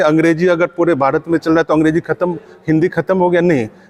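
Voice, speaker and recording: A man's fairly high voice at a moderate pace, dry and close with no echo. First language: Angika (speaking Hindi). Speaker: writer and language activist. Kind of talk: conference speech. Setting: conference. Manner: hesitant fillers, argumentative.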